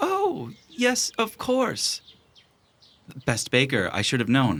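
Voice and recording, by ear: A man's put-on character voice at a medium pitch, fairly bright in tone, slow, with very wide pitch swings.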